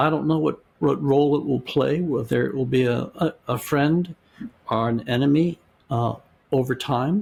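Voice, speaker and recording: The voice is somewhat breathy with ordinary pitch variation. It moves at a moderate pace. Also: man, fairly high pitch for a man. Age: 70s. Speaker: philosophy and religious studies professor. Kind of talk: interview. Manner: halting; thoughtful.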